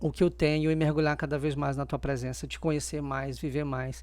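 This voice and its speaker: A man is captured on a very clean recording, the background silent. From Maranhão, Brazil. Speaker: doctor, church member. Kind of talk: podcast interview, testimony.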